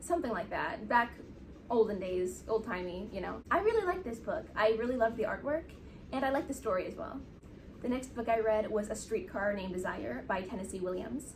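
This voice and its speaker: A woman speaks at a fairly high pitch and a fairly quick pace, with lively intonation. Noticeable background noise and audible room echo fill the recording. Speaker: book reviewer. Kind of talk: casual chat. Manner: fast.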